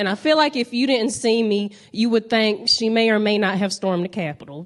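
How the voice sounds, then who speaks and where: A woman with a Southern US accent, moderate pace and ordinary pitch variation. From US South, North Carolina. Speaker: stand-up comedian. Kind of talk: stand-up. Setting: stage with audience.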